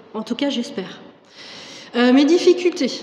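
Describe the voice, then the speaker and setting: Lively intonation and a moderate pace mark a woman's speech, with noticeable background noise behind it. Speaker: French teacher giving testimony. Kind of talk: testimony. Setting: church service. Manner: hesitant, many fillers.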